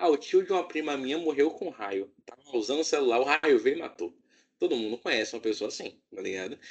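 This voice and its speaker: With vocal fry, a man's voice moves through very wide pitch swings. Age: 20s. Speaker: podcast host. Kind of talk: casual chat.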